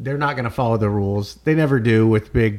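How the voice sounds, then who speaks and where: A normal speaking voice belongs to this man, pitched in the medium range. His pace is fairly quick, and his pitch varies in an ordinary way. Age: 30s. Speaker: sports podcast host. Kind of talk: casual chat.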